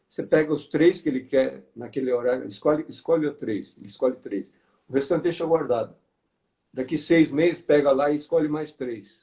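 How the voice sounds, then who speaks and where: Here a man talks at a moderate pace with a fairly high pitch. His tone is dark and mellow, with ordinary pitch variation. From Brazil, interior of Paraná. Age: 60s. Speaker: financial education speaker. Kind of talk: live online interview. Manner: halting.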